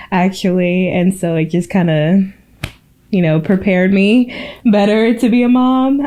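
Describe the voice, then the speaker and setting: A woman speaks at a fairly slow pace and medium pitch. Her loudness stays very even, with ordinary pitch variation. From Maryland, US (born in Cameroon). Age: 30s. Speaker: podcast co-host, travel nurse. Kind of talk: casual chat.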